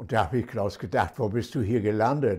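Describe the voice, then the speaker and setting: A man's dark, mellow tone with vocal fry, against a quiet background. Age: 80s+. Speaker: retired teacher. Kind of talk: interview answer. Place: home room.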